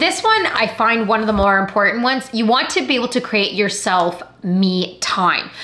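An animated woman with a Canadian accent, fairly quick, with ordinary pitch variation. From Canada. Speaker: actor and YouTuber; actor, YouTuber. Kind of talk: vlog talk to camera. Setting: at home. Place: home room.

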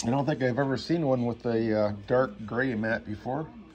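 There is light background noise. A man speaks at a fairly slow pace. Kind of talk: casual unboxing commentary. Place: home room. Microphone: phone near.

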